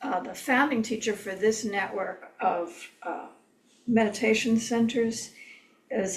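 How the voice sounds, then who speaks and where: Amid noticeable background noise and audible room echo, a woman speaks at a very slow pace in a fairly high voice with fairly even intonation. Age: 70s. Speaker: meditation teacher. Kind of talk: lecture. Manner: hesitant, many fillers.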